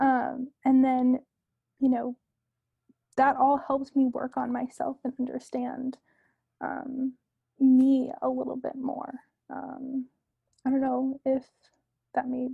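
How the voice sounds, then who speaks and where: A woman with an American accent speaks at a very slow pace with long, frequent pauses, her high voice set in a dark, mellow tone and delivered in a monotone, flat intonation. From Connecticut, greater Hartford area. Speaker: convention and events marketer. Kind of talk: casual chat.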